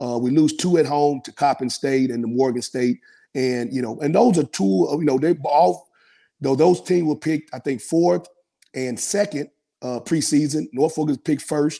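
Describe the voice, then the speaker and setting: A dark, mellow voice with a Memphis accent and lively intonation moves at a moderate pace on a very clean recording with a silent background. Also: man, fairly high pitch for a man. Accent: US Southern (Memphis). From Memphis, Tennessee. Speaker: college basketball coach. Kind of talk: interview. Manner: casual.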